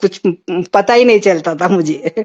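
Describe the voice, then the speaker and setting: A woman with a plain, everyday voice and ordinary pitch variation. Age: 60s. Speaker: caller to a spiritual satsang. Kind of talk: devotional testimony. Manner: repetitive, devotional.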